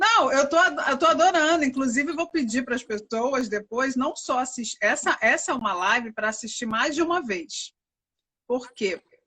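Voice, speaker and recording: A woman speaks in a raised, projected voice with a bright, sharp tone and a high pitch. Her intonation is lively, and her pace is moderate. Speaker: live stream host. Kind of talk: live stream talk. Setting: live stream.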